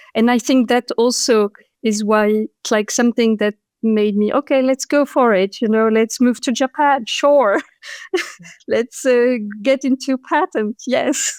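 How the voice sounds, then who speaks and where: A woman's high-pitched voice with a French accent, fairly slow and at very even loudness, with ordinary pitch variation, dry and close with no echo, on a very clean recording with a silent background. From France (Paris), Moroccan parents. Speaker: patent attorney and entrepreneur. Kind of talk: interview conversation.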